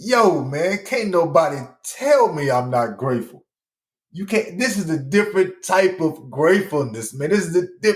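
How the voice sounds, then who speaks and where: A man with a high pitch speaks at a fairly slow pace in an animated tone, leaving long, frequent pauses. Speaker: podcast host with multiple sclerosis. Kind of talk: casual monologue. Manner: halting, stuttering.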